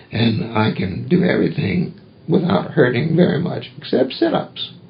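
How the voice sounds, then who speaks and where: Through noticeable background noise and audible room echo, a man speaks in a fairly high pitch with lively intonation. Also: moderate pace. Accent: American. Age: 70s. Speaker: retired pastor. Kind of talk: oral history interview.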